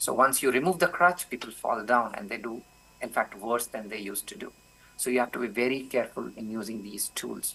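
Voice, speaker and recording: Speaking with a non-native accent, a man of medium pitch goes at a fairly quick pace with a bright, sharp tone, ordinary pitch variation and big swings in loudness. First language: not English. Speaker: professor. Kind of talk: conference Q&A answer.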